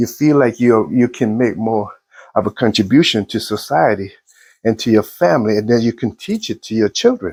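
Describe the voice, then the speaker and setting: A man speaks at a medium pitch with ordinary pitch variation, in a plain, everyday voice. The recording is dry and close, with no echo. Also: moderate pace. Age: 60s. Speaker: motivational vlogger. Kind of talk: motivational monologue.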